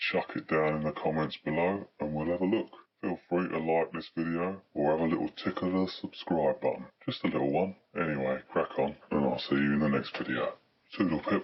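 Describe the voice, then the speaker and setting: This put-on character voice moves at a moderate pace. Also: man, very deep, low pitch for a man. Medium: solo performance. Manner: chatty, blunt, cheeky, swears freely.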